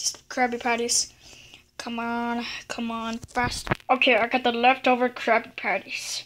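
There is light background noise. A woman is speaking. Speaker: toy storyteller. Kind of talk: playful toy role-play narration. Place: home room. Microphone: phone near.

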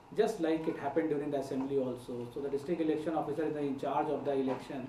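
Speech runs at a very fast pace with fairly even intonation. Light background noise and audible room echo are present. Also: man. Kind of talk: press conference statement. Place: hall. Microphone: podium.

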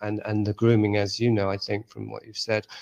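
A man with a fairly low pitch, an English accent, and monotone, flat intonation. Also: quiet background. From England. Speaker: author. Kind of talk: interview. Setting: video call.

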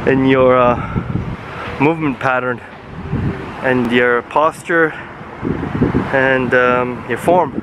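A man's voice comes through loud background noise, the sound dry with no echo. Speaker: fitness vlogger. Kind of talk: casual vlog chat. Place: street. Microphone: phone near.

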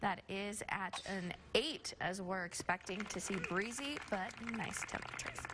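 A woman talks at a moderate pace with medium pitch and ordinary pitch variation over noticeable background noise. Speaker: TV meteorologist. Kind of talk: weather forecast. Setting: studio. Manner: conversational. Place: studio.

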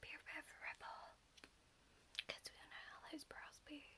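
A woman is whispering. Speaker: ASMR creator playing a brow artist. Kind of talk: ASMR roleplay, brow appointment, soft friendly talk. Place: home room. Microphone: phone near.

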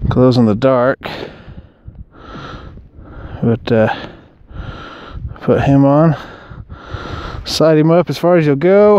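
A man with a medium-pitched voice, a dark, mellow tone and a clear, smooth tone talks at a slow pace with lively intonation and long, frequent pauses.

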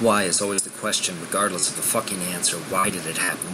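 Music plays in the background. A man talks in a fairly low pitch with monotone, flat intonation. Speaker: poet in addiction recovery. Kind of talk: spoken word poetry. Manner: intense, emotional.

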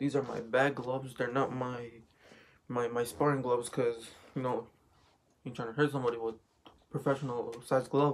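Over light background noise, a man speaks at a moderate pace in a monotone, flat intonation, with long, frequent pauses. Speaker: vlogger. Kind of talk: casual vlog chat, product show-and-tell. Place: home room. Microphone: phone near.

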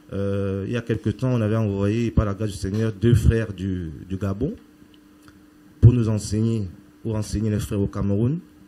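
With long, frequent pauses, a man speaks at a moderate pace in a fairly low, dark, mellow tone and fairly even intonation. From Cameroon. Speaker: charity association member. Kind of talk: testimony. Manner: halting.

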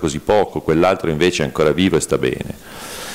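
Noticeable noise fills the background. A man speaks fairly quickly over it. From Piedmont, Italy. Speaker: neurologist. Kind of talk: conference talk. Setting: conference hall with audience.

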